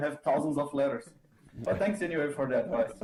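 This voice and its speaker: The speaker talks with a Brazilian accent against noticeable background noise. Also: man. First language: Portuguese. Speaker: composition student. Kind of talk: masterclass discussion.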